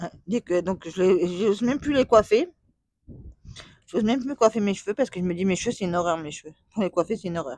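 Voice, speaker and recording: A woman at a very fast pace, broken up by long, frequent pauses. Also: medium pitch for a woman. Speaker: vlogger. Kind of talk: casual chat. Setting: at home. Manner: rambling, repetitive.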